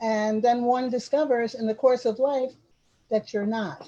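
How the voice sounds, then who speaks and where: Somewhat breathy, this woman's voice has a dark, mellow tone. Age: 70s. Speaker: community development elder and arts advocate. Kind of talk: group discussion on video call. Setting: video call. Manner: halting, with frequent repetitions.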